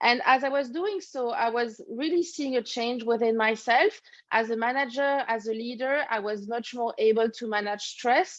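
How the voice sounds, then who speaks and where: A woman with a French accent, high-pitched, at a moderate pace against a quiet background. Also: ordinary pitch variation, hardly any pauses. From France, Paris. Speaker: leadership coach. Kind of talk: interview.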